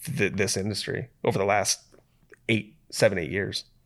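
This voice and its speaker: A man with an American accent, fairly low-pitched, at a moderate pace against a quiet background. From US Midwest, Toledo, Ohio. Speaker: brewery founder. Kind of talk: casual interview. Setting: office.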